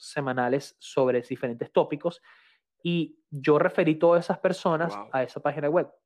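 Fairly even intonation in a man's fairly high-pitched voice. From Venezuela. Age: 30s. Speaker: photographer and engineer. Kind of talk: casual interview chat.

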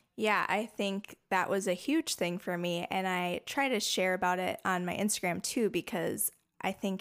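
A woman uses a normal speaking voice at medium pitch with fairly even intonation and a moderate pace. The recording is very clean, with a silent background. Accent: American. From Minnesota. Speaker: parent and wellness advocate. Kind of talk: casual interview.

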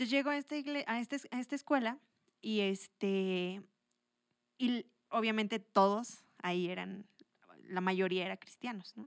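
The speaker moves at a fairly slow pace, leaving long, frequent pauses. Pitch varies in an ordinary way. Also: woman, fairly high pitch for a woman, dry, close sound with no echo. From Mexico, Toluca. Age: 20s. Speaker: churchgoer sharing her faith story. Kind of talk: testimony.

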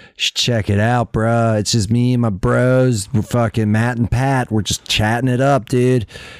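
A man drawls in a put-on character voice at a fairly slow pace. The recording is very clean, with a silent background. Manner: drawling, disinterested, stoner.

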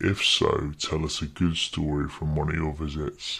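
At a moderate pace, a man talks in a very deep, low voice that is somewhat breathy. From London. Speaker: podcast host voicing interviewer. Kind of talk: interview questions.

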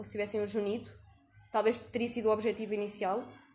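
A woman at medium pitch, very fast pace and fairly even intonation. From Portugal. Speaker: podcast host. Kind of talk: casual interview.

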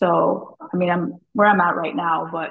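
With an ordinary speaking voice, a woman talks at a moderate pace, fairly low in pitch and with ordinary pitch variation. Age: 20s. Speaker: stock trader. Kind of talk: casual chat.

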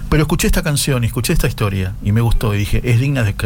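Audible echo from the room mixes with noticeable noise behind the speech. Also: man. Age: 50s. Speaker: radio host. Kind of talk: casual radio chat. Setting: home radio studio.

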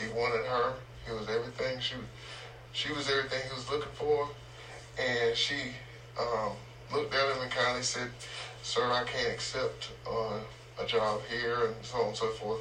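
In a recording with audible room echo and noticeable background noise, a man with an eastern North Carolina accent speaks at a moderate pace and medium pitch, his intonation monotone and flat, with long, frequent pauses. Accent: US Southern (eastern North Carolina). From North Carolina (Murfreesboro). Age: 50s. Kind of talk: interview.

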